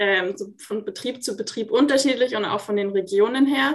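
A woman with a plain, everyday voice and a fairly high pitch speaks at a moderate pace with ordinary pitch variation. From Munich, Bavaria. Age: 20s. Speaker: master roofer and plumber. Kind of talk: interview. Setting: video call.

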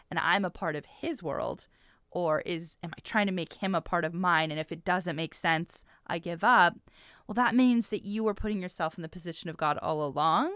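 With an American accent, a woman has an unremarkable speaking voice, fairly low in pitch, with ordinary pitch variation at a moderate pace. The recording is very clean, the background silent. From US, military family, partly Washington State. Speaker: business professor and podcast host. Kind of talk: casual interview.

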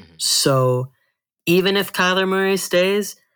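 A man speaks in a high pitch with an American accent. The recording is very clean, with a silent background and ordinary pitch variation. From Arizona. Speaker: sports pundit. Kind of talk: casual chat.

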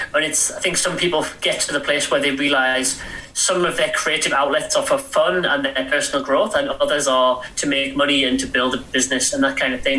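The speaker, with an English accent, talks at a fairly quick pace with ordinary pitch variation. Noticeable background noise and audible room echo fill the recording. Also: man. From England. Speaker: author and entrepreneur. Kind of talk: interview. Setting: remote call.

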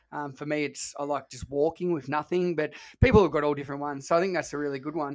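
Delivery is very fast. The voice is heard in an Australian accent. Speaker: podcast host, fitness trainer. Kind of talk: casual podcast chat. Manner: casual, relaxed.

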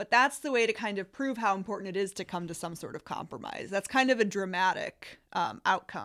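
On a very clean recording with a silent background, a woman with an American accent speaks at medium pitch and a fairly quick pace, with ordinary pitch variation and hardly any pauses. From US Midwest, Illinois. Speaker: economics professor. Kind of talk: explanatory interview.

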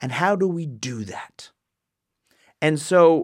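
On a very clean recording with a silent background, a man with a Canadian accent speaks in a high pitch with lively intonation. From Ontario, Canada. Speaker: pastor. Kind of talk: teaching podcast monologue.

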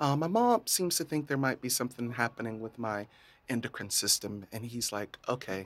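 A man with an American accent speaks in an unremarkable speaking voice, medium in pitch with ordinary pitch variation, at a moderate pace on a very clean recording with a silent background. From rural Central Florida, US. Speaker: healthcare data manager and drag queen. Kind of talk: casual interview chat. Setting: studio.

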